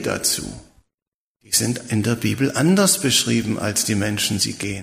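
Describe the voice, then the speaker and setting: With lively intonation and vocal fry, a man talks in a space with audible room echo. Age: 70s. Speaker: preacher. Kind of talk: sermon.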